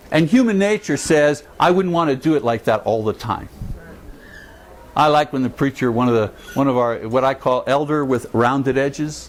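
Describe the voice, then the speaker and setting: A man with a fairly high pitch keeps his loudness very even and his pitch variation ordinary, speaking at a moderate pace over noticeable background noise. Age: 60s. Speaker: preacher teaching a church class. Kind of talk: class talk. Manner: animated.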